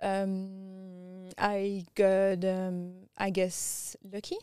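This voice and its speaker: This woman speaks with a strong French accent at a medium pitch, her dark, mellow tone delivered in a monotone, flat intonation. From France. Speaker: tech strategist and business founder. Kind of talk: interview conversation.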